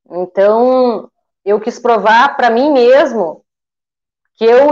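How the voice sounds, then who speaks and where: At a very slow pace, a woman speaks at a fairly high pitch. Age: 40s. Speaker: eyebrow designer, small business owner. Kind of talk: interview on a livestream.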